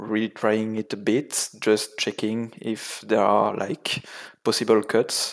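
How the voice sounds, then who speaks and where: Speaking at a very slow pace, a man with a French accent has a fairly low pitch. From France. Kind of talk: casual chat. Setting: video call. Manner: halting.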